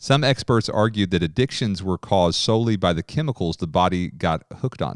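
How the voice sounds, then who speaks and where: In a very clean recording with a silent background and a dry, close sound with no echo, a normal speaking voice moves at a fairly quick pace with lively intonation. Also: man. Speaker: teacher, speaker at event. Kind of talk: sermon-style teaching.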